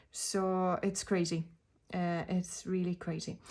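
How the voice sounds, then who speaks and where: Her intonation is monotone and flat, and the pitch is medium for a woman with a non-native accent. The recording is very clean, with a silent background. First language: not English. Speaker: tarot reader. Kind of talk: casual video talk about tarot decks. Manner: hesitant, many fillers.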